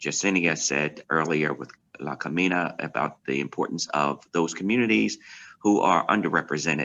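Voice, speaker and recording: Vocal fry in a man's very deep, low register, with pitch that varies in an ordinary way. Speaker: pastor. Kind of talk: virtual town hall remarks. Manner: fast.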